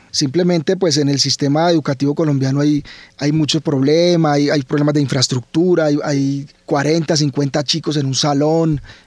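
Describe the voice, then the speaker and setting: Speaking at a moderate pace, a man holds a fairly high pitch with monotone, flat intonation and very even loudness. The sound is dry with no echo, and the background is quiet. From Colombia, Cali (Valle del Cauca); Colombia. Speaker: biology professor. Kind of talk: radio interview. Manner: repeats words, halting.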